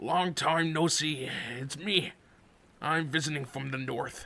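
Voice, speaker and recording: Using a put-on character voice, a man talks at a fairly slow pace, his voice raspy and fairly high-pitched. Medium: read story. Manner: teasing, jovial.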